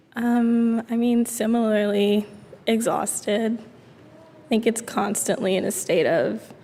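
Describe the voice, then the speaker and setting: Amid noticeable background noise, a woman with a fairly high pitch speaks at a very slow pace, with monotone, flat intonation and big swings in loudness. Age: 20s. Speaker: university student. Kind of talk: live public conversation.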